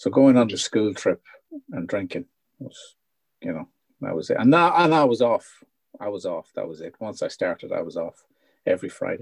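Here a man speaks with a northwest Irish accent at a moderate pace. The sound is dry and close, with no echo. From Ireland, North Leitrim. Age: 50s. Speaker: founder of a secular recovery group. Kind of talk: casual interview chat. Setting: video call.

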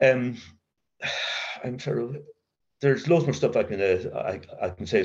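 Intonation is lively as a man talks at a moderate pace. There is a somewhat breathy quality to his voice. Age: 70s. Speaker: recovering alcoholic sharing at AA meeting. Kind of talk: testimony. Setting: recovery meeting, recorded. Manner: halting.

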